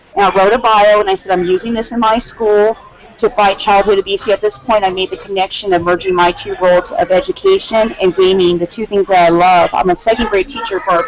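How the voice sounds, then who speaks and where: In an American accent, a woman speaks very fast at a medium pitch with hardly any pauses and ordinary pitch variation, over noticeable background noise. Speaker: teacher and competitive dance gamer. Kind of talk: interview testimony.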